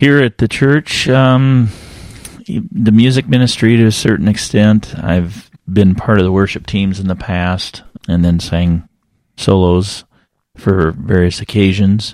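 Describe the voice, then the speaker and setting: A man has a normal speaking voice with a fairly low pitch and ordinary pitch variation. He talks at a fairly slow pace. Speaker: guest, church member.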